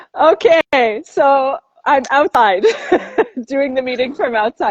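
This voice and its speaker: The delivery is very slow. Its intonation is lively. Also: woman, high pitch for a woman, dry, close sound with no echo. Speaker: architect and geomancer. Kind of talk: casual chat. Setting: outdoors on construction site, video call. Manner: loud.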